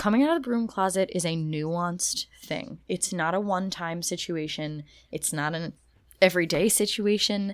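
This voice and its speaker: A woman with a normal speaking voice, at a moderate pace and with ordinary pitch variation. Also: medium pitch for a woman. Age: 30s. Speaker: podcast co-host. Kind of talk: casual chat.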